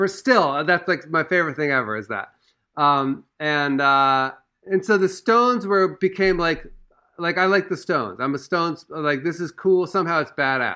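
A man's high-pitched voice in an American accent, bright and sharp in tone, with lively intonation at a moderate pace against a quiet background. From Washington DC. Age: 40s. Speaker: musician. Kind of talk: casual chat.

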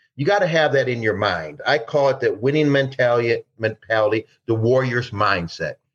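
Lively intonation marks this man's speech. He sounds somewhat breathy and keeps a moderate pace. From Detroit, Michigan, US. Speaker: former DEA agent. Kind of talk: interview storytelling.

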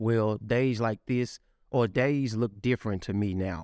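A man speaks in a normal speaking voice, fairly low in pitch and fairly even in intonation. He keeps a moderate pace against a quiet background. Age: 30s. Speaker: podcast host and entrepreneur. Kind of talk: interview.

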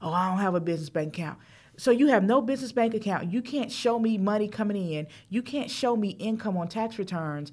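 A normal speaking voice with lively intonation. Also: woman, medium pitch for a woman, fairly quick pace. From US South, Charlotte, North Carolina. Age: 40s. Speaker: financial coach. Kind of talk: interview.

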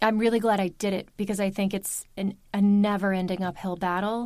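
A woman with an American accent at medium pitch and moderate pace, her intonation monotone and flat, on a very clean recording with a silent background. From US Mid-Atlantic, Baltimore, Maryland. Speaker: audiobook narrator. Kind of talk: casual interview chat.

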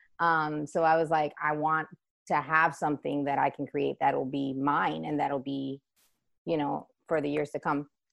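Over a quiet background, a woman speaks in a very deep, low pitch. Her intonation is monotone and flat, at a moderate pace. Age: 30s. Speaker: dance business owner. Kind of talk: interview.

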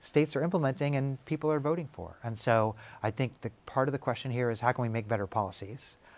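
Moving at a fairly quick pace, a man uses a plain, everyday voice with a medium pitch and ordinary pitch variation. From US Midwest, Kansas City. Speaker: professor of sociology and psychiatry, author. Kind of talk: interview.

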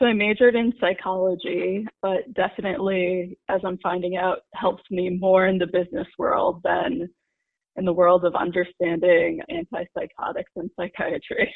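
A woman speaks with an American accent at a moderate pace, in an unremarkable speaking voice. Her pitch sits in the medium range, with ordinary pitch variation. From US Northeast, New York City suburbs and Connecticut. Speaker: mental health interviewee. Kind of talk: interview testimony.

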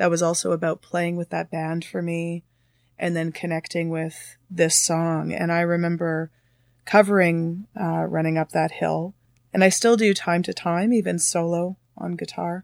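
A woman with a Canadian accent speaks at a fairly slow pace in a fairly low, flat monotone. The recording is very clean and dry, close up with no echo and a silent background. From Canada, Thunder Bay, Ontario. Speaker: singer-songwriter. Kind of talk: casual interview chat. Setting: studio. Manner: hesitant, frequent fillers.

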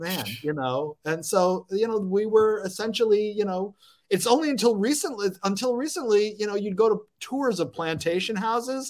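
With an American accent, a man speaks at a high pitch with lively intonation. He keeps a moderate pace with hardly any pauses. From US South, Lafayette, Louisiana. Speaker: professor and podcast host. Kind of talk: casual chat.

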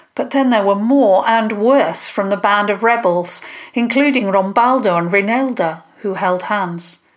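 Reading aloud in a natural voice, with ordinary shifts in pitch

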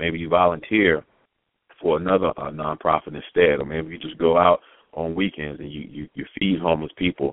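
At a fairly quick pace, a man with an American accent speaks in a very deep, low pitch, his intonation monotone and flat while his loudness swings widely. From Baltimore, US. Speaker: podcast host and speaker. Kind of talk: motivational talk.

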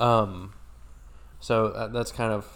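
This man has an American accent. He talks at a very slow pace. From rural Oklahoma. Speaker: podcast co-host. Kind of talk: casual chat.

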